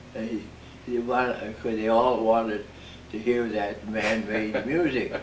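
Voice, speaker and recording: A man with an American accent speaks at a very slow pace and medium pitch. His intonation is fairly even, and noticeable background noise is present. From Midwestern United States. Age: 80s+. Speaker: war veteran. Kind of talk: interview answer.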